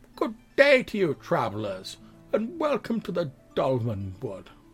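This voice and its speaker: Using a put-on character voice, a man speaks at a moderate pace with a high pitch. Faint music plays in the background. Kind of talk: polite, welcoming. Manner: cheery.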